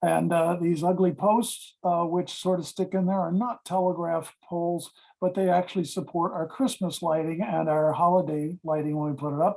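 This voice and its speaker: In a very clean recording with a silent background, a man with a high voice speaks at a moderate pace, using fairly even intonation and hardly any pauses. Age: 70s. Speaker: model railroad hobbyist presenting his layout. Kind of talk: slideshow presentation. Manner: relaxed, with frequent fillers.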